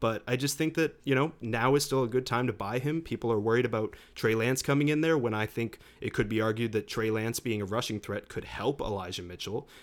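An unremarkable speaking voice from a man with an American accent, medium pitch, a fairly quick pace and hardly any pauses, in a very clean recording with a silent background. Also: ordinary pitch variation. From Massachusetts. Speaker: podcast co-host. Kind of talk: casual podcast chat about fantasy football.

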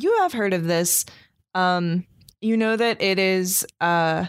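The recording is very clean, with a silent background. It carries a normal speaking voice with fairly even intonation. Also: woman. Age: 20s. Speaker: dungeon master of actual play podcast. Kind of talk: tabletop game narration.

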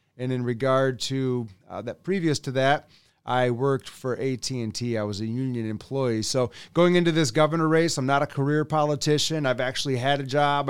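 A man with an Upper Midwest accent speaks at a moderate pace. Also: very clean recording, silent background. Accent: Upper Midwest American. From West Michigan. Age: 40s. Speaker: political candidate. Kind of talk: interview. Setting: in-person studio.

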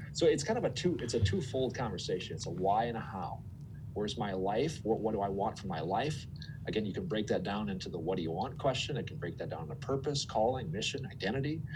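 Delivered at a very fast pace, the speech has lively intonation and an Upper Midwest accent. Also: man, medium pitch for a man. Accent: Upper Midwest American. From Minnesota. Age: 40s. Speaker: former TV meteorologist, finance and career coach. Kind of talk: interview conversation. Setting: studio.

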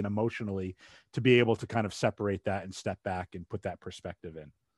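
With an American accent and a normal speaking voice, a man talks at a fairly quick pace. The sound is dry and close with no echo, against a quiet background. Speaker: podcast host. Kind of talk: casual chat.

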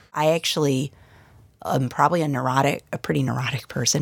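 A woman speaks with an enthusiastic tone, very deep, low pitch and vocal fry. Her fairly quick delivery has a dry, close sound with no echo. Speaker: neurologist and professor. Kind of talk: interview.

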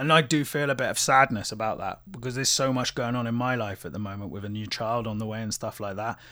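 A man with a British accent talks at a very fast pace, with hardly any pauses. His tone is bright and sharp, and his pitch varies in an ordinary way. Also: medium pitch for a man. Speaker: musician. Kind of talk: casual chat.

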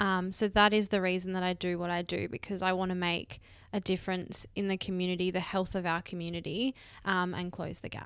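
A woman with an Australian accent talks fairly quickly in a medium-pitched voice with monotone, flat intonation. The recording is very clean, with a silent background. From Western Australia, Perth. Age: 20s. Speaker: business manager. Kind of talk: interview. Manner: hesitant, many fillers.

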